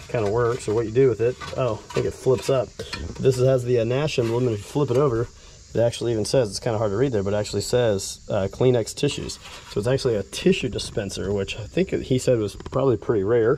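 Light background noise sits under a dry sound with no echo. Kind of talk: casual vlog chat. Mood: mildly enthusiastic. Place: garden. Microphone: phone near.

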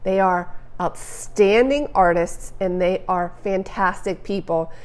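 Here is a woman speaking. Her pace is fairly slow. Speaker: photography educator. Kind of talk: live Q&A answer. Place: home room. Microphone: lapel.

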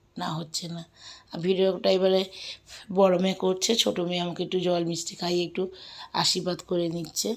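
Monotone, flat intonation in a fairly low female voice. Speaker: vlogger. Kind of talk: casual vlog narration. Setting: at home. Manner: informal, unpolished.

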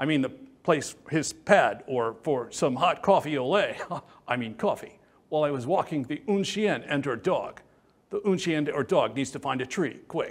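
A man's lively intonation at a moderate pace. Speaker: interviewee. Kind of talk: interview answer with comic character voices. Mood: playful, comedic. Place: studio. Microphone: lapel.

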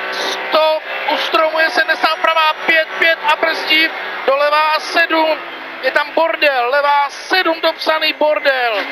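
Over noticeable background noise, a woman uses a raised, projected voice at a high pitch, speaking very slowly with very even loudness and monotone, flat intonation. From Czech Republic. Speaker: rally co-driver. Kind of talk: rally pace notes read aloud to the driver. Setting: rally car during a stage. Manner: urgent, sharply emphasized warnings (brzda, bacha) at hazards. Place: car. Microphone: helmet.

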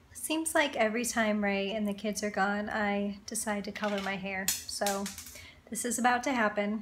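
A somewhat breathy woman at a moderate pace, her intonation fairly even, over light background noise. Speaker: family vlogger. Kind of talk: casual vlog chat. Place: home room. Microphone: phone near.

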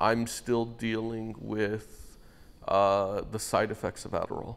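Speaking slowly with vocal fry, a man keeps his fairly low pitch nearly flat, with little pitch movement.

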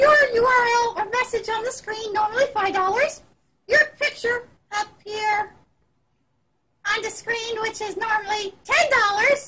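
Using a put-on character voice with an extremely high pitch, a woman speaks at a moderate pace with long, frequent pauses. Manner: chatty, enthusiastic.

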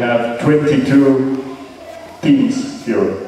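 Against strong room echo and light background noise, a man speaks with fairly even intonation. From Italy. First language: Italian. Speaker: event organizer and amateur radio operator. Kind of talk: ceremony speech. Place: hall.

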